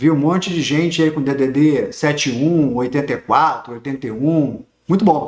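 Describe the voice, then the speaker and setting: A man speaks with a Rio de Janeiro accent at a moderate pace. His pitch is fairly high, with ordinary variation. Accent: Rio de Janeiro (carioca). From Rio de Janeiro, Brazil. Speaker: teacher of social security law. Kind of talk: online lecture. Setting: livestream on YouTube.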